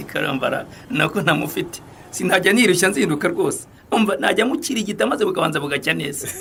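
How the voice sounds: In a room with audible echo, a man does a put-on character voice at a fast pace, pitched high with vocal fry and lively intonation. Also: fairly bright tone.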